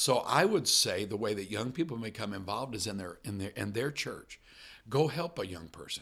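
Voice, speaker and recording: In an unremarkable speaking voice, a man with an American accent talks at a moderate pace and a fairly low pitch. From US Midwest, Illinois. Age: 50s. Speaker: missions director and former missionary pastor. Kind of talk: interview conversation.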